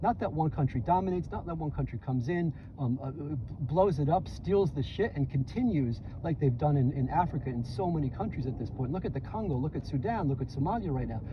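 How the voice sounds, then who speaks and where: A man with a New York accent, fairly high-pitched, very fast, animated in tone and lively in intonation, against noticeable background noise. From US Northeast, New York City (Bronx). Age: 60s. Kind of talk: casual chat. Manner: halting, many repeated words.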